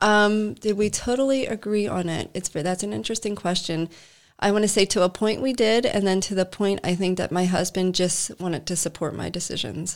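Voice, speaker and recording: At a fairly quick pace, the speaker uses ordinary pitch variation in an unremarkable speaking voice. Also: woman, medium pitch for a woman. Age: 40s. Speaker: Reiki master and business owner. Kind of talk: casual interview chat.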